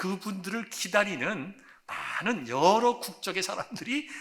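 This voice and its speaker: This is a man talking. There is noticeable background noise as well. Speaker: pastor. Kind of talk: sermon.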